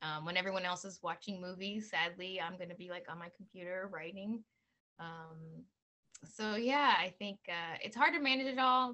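A woman speaks at a medium pitch with a bright, sharp tone and big swings in loudness. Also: ordinary pitch variation, moderate pace. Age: 40s. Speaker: author and actress; actress. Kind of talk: casual interview. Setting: video call. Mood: warm, animated. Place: home room. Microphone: video call.

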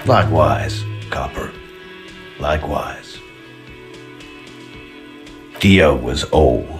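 Over faint background music, a man puts on a character voice at an extremely low pitch and a very slow pace. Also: ordinary pitch variation.

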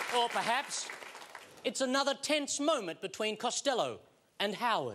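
Over crowd noise in the background, the voice holds very even loudness at a moderate pace with ordinary pitch variation. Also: man, extremely high pitch for a man. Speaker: TV comedy host. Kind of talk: comedy TV monologue. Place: studio. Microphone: lapel.

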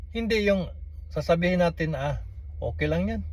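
A man speaks at a moderate pace. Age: 60s. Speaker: vlogger. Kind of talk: political commentary monologue.

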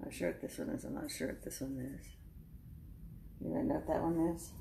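A woman talks at a fairly quick pace, with audible room echo and light background noise. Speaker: craft vlogger. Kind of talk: casual talk to camera, haul show-and-tell. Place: home room. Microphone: phone near.

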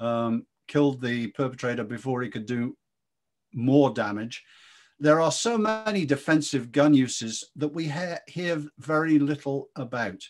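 A man with a British accent speaks at a fairly slow pace, his intonation lively. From Britain. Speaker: interviewer and think-tank fellow. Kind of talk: interview discussion. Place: home room. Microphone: video call.

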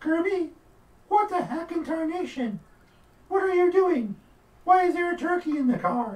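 A cartoonish character voice, female-sounding, at an extremely high pitch, with a moderate pace and long, frequent pauses. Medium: puppet show. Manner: exasperated, folksy.

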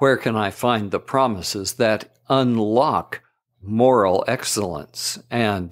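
With lively intonation, a man speaks at a very slow pace and a medium pitch. The recording is very clean and the background silent. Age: 70s. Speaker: missionary. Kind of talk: devotional podcast reading.

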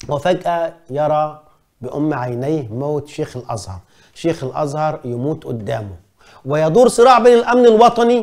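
An animated man with very wide pitch swings. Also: quiet background. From Egypt. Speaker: journalist and commentator; journalist, commentator. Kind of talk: film review monologue. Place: studio. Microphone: lapel.

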